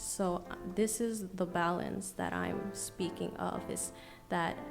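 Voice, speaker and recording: A soft-spoken voice with an American accent delivers the words in a passionate tone at a very slow pace. Music plays in the background. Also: woman. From New York City, USA. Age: young. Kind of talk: podcast guest answering in conversation. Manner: soft-spoken, passionate.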